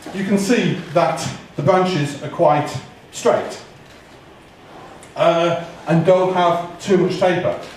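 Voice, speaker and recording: Loud and high-pitched, a man speaks at a very slow pace with long, frequent pauses and fairly even intonation, amid noticeable background noise and audible room echo. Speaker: bonsai expert giving tree critique. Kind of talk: live critique talk to audience. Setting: hall with audience, museum.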